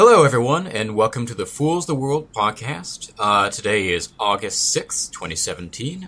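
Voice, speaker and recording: Bright and sharp in tone, a man's voice sits at a fairly high pitch with vocal fry. He moves slowly, at a fairly slow pace, with very wide pitch swings. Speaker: podcast host. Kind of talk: casual, profane.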